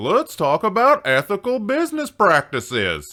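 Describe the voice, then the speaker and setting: This cartoonish character voice comes from a man pitched high. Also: moderate pace. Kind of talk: old-timey cartoon.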